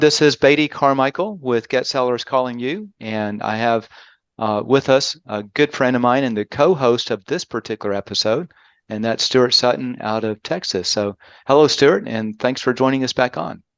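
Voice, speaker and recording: Dry and close with no echo, a man with a Southern US accent speaks at a medium pitch with ordinary pitch variation and a moderate pace. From US South, Birmingham, Alabama. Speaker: podcast host, marketing consultant. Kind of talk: casual chat.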